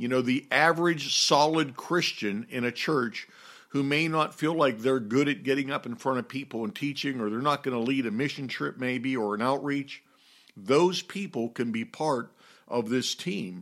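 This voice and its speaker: A man speaks at a moderate pace with a medium pitch and ordinary pitch variation, in a plain, everyday voice. The recording is very clean, with a silent background. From US, Pittsburgh. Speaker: pastor and church leadership teacher. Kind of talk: teaching talk on church leadership.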